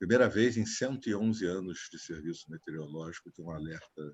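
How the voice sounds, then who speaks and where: His pitch moves in an ordinary way. The man's delivery is fairly quick. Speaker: meeting participant. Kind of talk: online meeting remark.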